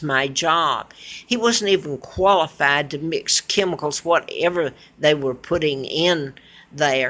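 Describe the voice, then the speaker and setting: A woman's fairly low-pitched voice at a fairly slow pace, against noticeable background noise. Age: 70s. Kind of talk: casual talk to camera.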